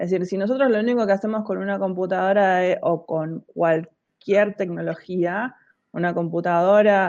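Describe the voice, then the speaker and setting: A woman speaks in a Rioplatense accent at a moderate pace. Her intonation stays fairly even over a quiet background. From Argentina, La Plata. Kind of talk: interview conversation.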